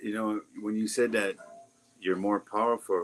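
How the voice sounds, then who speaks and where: A man with a fairly low voice speaks at a fairly slow pace. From Lakota community, US Great Plains. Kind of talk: casual interview chat. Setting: live stream.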